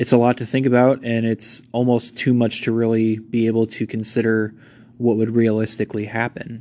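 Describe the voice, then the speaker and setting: Speaking at a fairly quick pace, a man keeps a monotone, flat intonation. His medium-pitched voice has a dark, mellow tone. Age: 30s. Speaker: history podcast host. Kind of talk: casual monologue. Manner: halting.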